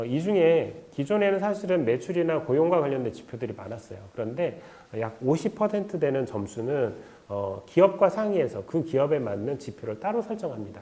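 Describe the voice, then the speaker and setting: A man speaks at a fairly high pitch, his voice swinging very widely up and down. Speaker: credit guarantee fund staff presenter. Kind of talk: online info session presentation. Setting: online video stream. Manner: fast; many filler sounds.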